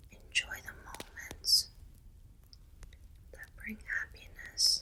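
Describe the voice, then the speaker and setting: A woman's extremely high-pitched voice at a very slow pace with fairly even intonation, over noticeable background noise. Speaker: ASMR creator. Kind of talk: ASMR reiki healing session. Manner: soft-spoken, comforting.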